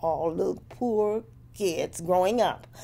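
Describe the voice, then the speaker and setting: In an American accent, a woman speaks at a very slow pace. Her voice has a fairly low pitch and a dark, mellow tone. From Tennessee, USA. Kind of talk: oral history interview recollection. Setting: interview recording. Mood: reflective, recalling childhood. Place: home room.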